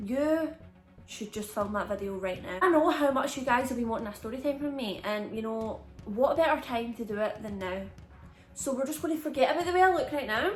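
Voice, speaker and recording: A woman speaks with a Scottish accent at a high pitch and a fairly quick pace. Her intonation is lively and her tone animated. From Scotland. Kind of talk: casual storytime talk to camera. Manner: chatty, animated.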